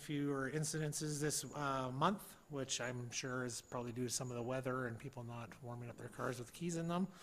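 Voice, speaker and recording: Audible room echo on a man's fairly high-pitched voice, with ordinary pitch variation. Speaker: police officer. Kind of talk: council meeting report. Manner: fast.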